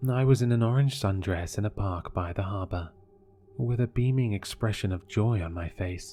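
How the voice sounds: Natural-sounding reading, nothing more.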